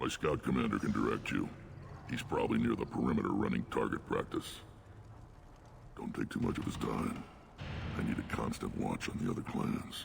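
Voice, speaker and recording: A man speaks in a put-on character voice at a fairly quick pace. His long, frequent pauses come over clear background noise. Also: very even loudness. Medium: video game. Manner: gruff, blunt.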